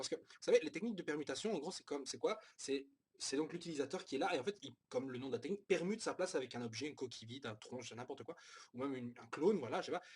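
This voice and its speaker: Talking at a very fast pace, a man sounds somewhat breathy, with lively intonation and big swings in loudness. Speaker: manga reviewer. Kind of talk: casual review monologue. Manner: halting, many fillers.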